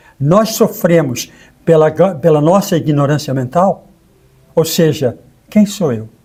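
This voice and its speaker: Lively intonation marks this man's dark, mellow voice. He goes at a fairly slow pace with long, frequent pauses. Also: fairly high pitch for a man. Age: 70s. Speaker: co-host and therapist. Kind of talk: conversational interview.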